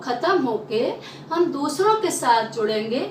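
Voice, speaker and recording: Lively intonation in a Bundelkhand accent comes through audible room echo and noticeable background noise. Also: woman. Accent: Bundelkhandi Hindi. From Bundelkhand, central India. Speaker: Hindi teacher. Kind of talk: lecture.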